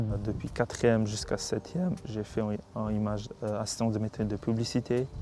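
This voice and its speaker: This is a man speaking. His pitch is medium. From North Macedonia. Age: 20s. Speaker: undocumented migrant. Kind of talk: interview testimony. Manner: hesitant, many fillers.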